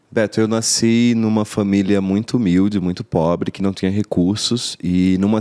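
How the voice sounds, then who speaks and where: Speaking in a northeastern Brazilian accent, a man has a fairly low pitch and a dark, mellow tone, with ordinary pitch variation at a moderate pace. The recording is very clean with a silent background, and the sound is dry and close with no echo. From Paraíba, northeastern Brazil (Rio Tinto). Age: 30s. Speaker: actor. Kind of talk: interview, life story. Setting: studio.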